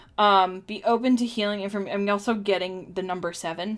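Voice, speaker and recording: A woman with a plain, everyday voice, a fairly quick pace and ordinary pitch variation, in a very clean recording with a silent background. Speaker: tarot and oracle card reader. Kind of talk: live-streamed oracle card reading. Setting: live stream. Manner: casual, chatty with many fillers.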